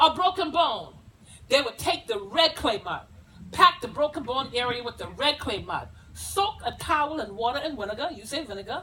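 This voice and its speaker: An animated woman with an American accent projects a raised, high voice with a bright, sharp tone, very wide pitch swings and big swings in loudness. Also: moderate pace. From South Carolina Lowcountry, Gullah community. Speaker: historical presenter. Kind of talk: dramatic presentation. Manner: animated, storytelling.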